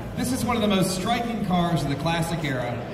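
Moderate pace over noticeable background noise. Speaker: auction commentator. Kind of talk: descriptive presentation. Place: hall.

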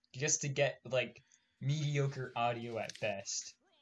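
Loud and fairly even in intonation, a man speaks with a fairly high pitch. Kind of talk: casual gameplay commentary.

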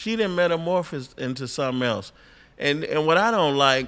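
Lively intonation marks a man's fairly high voice. He keeps a moderate pace. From Detroit. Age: 50s. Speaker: comedian; podcast guest. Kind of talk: casual chat. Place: studio. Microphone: studio mic.

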